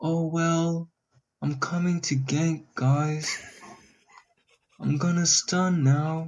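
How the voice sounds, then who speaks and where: Someone uses a put-on character voice at a middle pitch. The pace is very slow, with long, frequent pauses. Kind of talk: casual. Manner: put-on, exaggerated.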